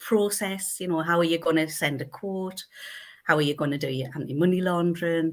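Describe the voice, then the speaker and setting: Speaking at a fairly quick pace, a woman with a North East England accent and a fairly low pitch is heard on a very clean recording with a silent background. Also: ordinary pitch variation. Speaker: accountant. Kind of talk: interview answer. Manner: bubbly, effervescent.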